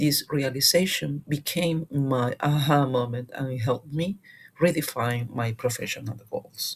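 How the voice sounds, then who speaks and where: The speaker has a Spanish accent. Background noise is noticeable throughout. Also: fairly slow pace. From Peru. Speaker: MBA student. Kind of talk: class presentation. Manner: formal; hesitant with fillers.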